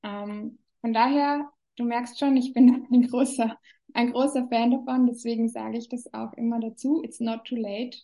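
Her voice is high and dark, mellow in tone, and a woman delivers it at a moderate pace with monotone, flat intonation and big swings in loudness. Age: 30s. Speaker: business coach. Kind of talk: interview.

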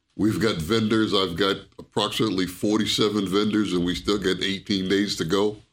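With a New York accent, a man with a fairly low pitch speaks at a fairly quick pace and hardly any pauses, his intonation monotone and flat and his loudness very even. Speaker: retired soldier, retirement services staff. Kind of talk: casual interview.

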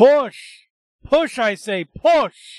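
A man's bellowing, put-on character voice at an extremely high pitch. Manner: commanding, barking orders.

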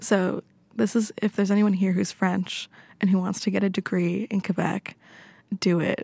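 Speaking with a Canadian accent, a woman has a somewhat breathy, dark, mellow tone at medium pitch, with fairly even intonation and very even loudness. Her moderate pace comes through a dry, close sound with no echo. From Canada, Toronto. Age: 20s. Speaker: student radio guest. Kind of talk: casual chat. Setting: studio.

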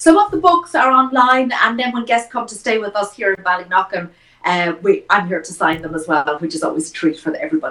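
A woman with an Irish accent talks at a fairly quick pace. Her pitch swings very widely and her loudness rises and falls sharply. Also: medium pitch for a woman. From Ireland, County Wicklow. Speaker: chef and cookery school owner. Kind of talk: interview.

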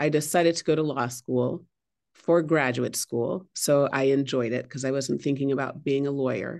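A woman speaks with an American accent. Her pitch is very deep and low, with ordinary variation. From US West Coast, San Francisco Bay Area. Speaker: head of school. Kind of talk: interview.

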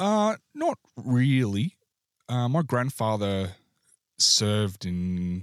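A man on a very clean recording with a silent background, the sound dry and close with no echo. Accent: Australian. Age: 40s. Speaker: army and air force veteran, publican. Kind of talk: casual interview chat.

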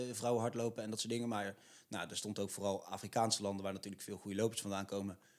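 In monotone, flat intonation, a man rattles along at a very fast pace. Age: 20s. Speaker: podcast co-host, sports. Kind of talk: scripted intro; casual chat.

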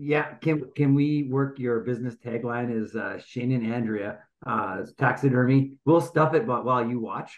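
This man has a plain, everyday voice at medium pitch, fairly even intonation, a fairly slow pace and hardly any pauses. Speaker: podcast co-host.

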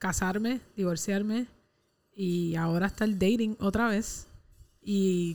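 With a Puerto Rican accent, a woman speaks at a very slow pace and medium pitch, her intonation fairly even, her loudness very even, and her speech marked by long, frequent pauses. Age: 20s. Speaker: podcast co-host. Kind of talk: casual chat.

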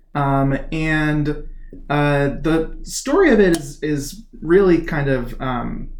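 There is audible room echo around this man. His voice sits fairly high in pitch. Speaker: chair of a political action committee. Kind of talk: interview. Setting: home garage studio.

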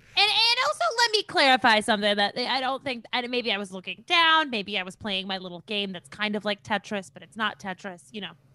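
An American-accented woman talks at a fairly quick pace with hardly any pauses, a fairly high pitch, lively intonation and big swings in loudness. The sound is dry and close with no echo, though background noise is noticeable. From Minnesota, near Rochester. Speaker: comedian. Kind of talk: casual chat.

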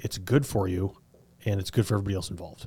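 Very fast and somewhat breathy, a man speaks at a fairly low pitch with a dark, mellow tone. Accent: American. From southern Colorado. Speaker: podcast host. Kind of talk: interview.

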